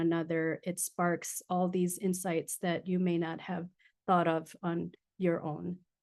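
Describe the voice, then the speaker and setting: A woman speaks with a Filipino accent at a fairly slow pace. Her pitch is fairly low, over a quiet background. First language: Tagalog. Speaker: design researcher and futurist speaker. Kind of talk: webinar presentation. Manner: hesitant, many fillers.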